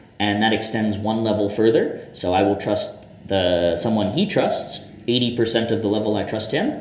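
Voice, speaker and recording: A man with an American accent talks at a moderate pace, with noticeable background noise and audible room echo. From US Northeast, Boston, Massachusetts. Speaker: tech startup founder. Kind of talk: interview conversation. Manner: talkative.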